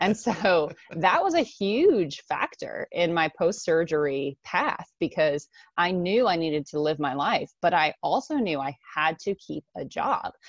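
A woman with an American accent and an unremarkable speaking voice, at a fairly low pitch and fairly slow pace, with lively intonation and a dry, close sound with no echo. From US, Japanese American family. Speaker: time management coach and entrepreneur. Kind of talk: interview.

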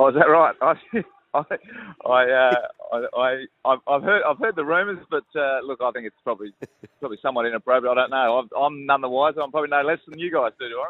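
A man with an Australian accent talks at a very fast pace and fairly high pitch, with ordinary pitch variation and big swings in loudness. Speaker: football club coach. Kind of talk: interview.

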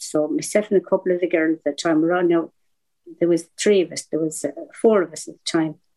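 A woman's fairly low voice with a dark, mellow tone, an Irish accent and a fairly quick pace. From southeast Ireland. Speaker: veteran activist. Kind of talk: interview storytelling.

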